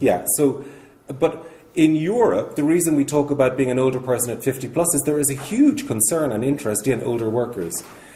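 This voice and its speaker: At a fairly quick pace, a man with an Irish accent speaks at a fairly high pitch with ordinary pitch variation. Noticeable background noise and audible room echo fill the recording. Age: 60s. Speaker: charity speaker. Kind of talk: conference talk.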